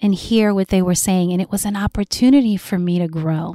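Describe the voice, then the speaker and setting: An animated tone comes from a woman at a fairly quick pace. The sound is dry and close with no echo. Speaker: podcast host. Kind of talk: solo podcast monologue.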